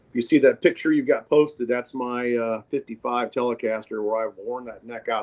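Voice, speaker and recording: In an American accent, a man talks at a moderate pace and medium pitch with flat, monotone intonation. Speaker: singer-songwriter and guitarist. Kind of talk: casual interview chat. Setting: phone call.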